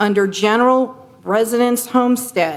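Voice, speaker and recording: There is noticeable background noise and audible room echo as a woman talks at a fairly slow pace. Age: 60s. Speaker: resident speaking at public comment. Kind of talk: public comment at council meeting. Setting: city council meeting. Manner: unscripted.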